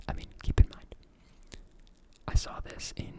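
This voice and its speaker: Noticeable background noise fills the recording. Over it, a person whispers. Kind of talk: ASMR whisper ramble, casual movie review talk to camera. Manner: whispered, soft-spoken, rambling with filler words.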